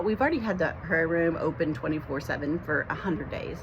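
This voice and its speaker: Audible room echo and noticeable background noise surround the recording. A woman speaks with ordinary pitch variation. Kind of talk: personal testimony to camera. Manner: fast; halting, many fillers and repetitions.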